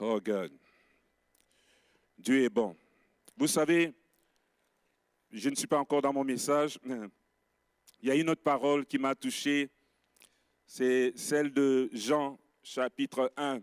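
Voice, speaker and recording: In a dry, close recording with no echo, a man with a fairly high pitch speaks very slowly, with ordinary pitch variation and long, frequent pauses. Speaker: pastor. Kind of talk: sermon. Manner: soft-spoken.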